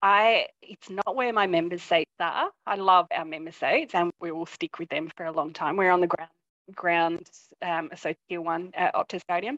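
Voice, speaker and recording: In an Australian accent, a woman speaks at a moderate pace with a fairly low pitch and ordinary pitch variation. The sound is dry and close with no echo, over a quiet background. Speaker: football fan, IT worker. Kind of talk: casual interview. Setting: video call.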